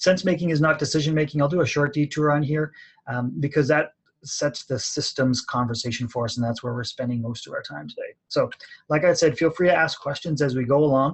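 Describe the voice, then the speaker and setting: The somewhat breathy voice moves at a fairly quick pace with ordinary pitch variation. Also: man, fairly high pitch for a man. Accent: Canadian. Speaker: college professor and outdoor education manager. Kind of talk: webinar presentation. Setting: online webinar from his office. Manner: fast.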